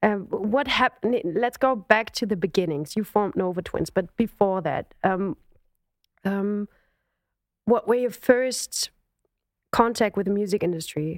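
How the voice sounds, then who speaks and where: Recorded with a dry, close sound and no echo, a woman talks in a German accent at a medium pitch. Her pitch varies in an ordinary way, and she leaves long, frequent pauses. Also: fairly slow pace. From Germany. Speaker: podcast host and singer. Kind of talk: interview. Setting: video call.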